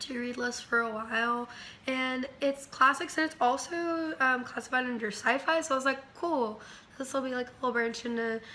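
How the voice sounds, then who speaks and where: Her voice is raised and projected, high-pitched, with ordinary pitch variation. The woman keeps a moderate pace over noticeable background noise. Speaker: book reviewer. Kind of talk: casual talk to camera. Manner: hesitant, many fillers.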